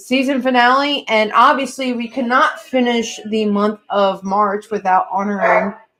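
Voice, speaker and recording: A woman speaks loudly in a high pitch. Music plays behind her. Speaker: pirate history podcast host. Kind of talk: casual live-stream chat. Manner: animated.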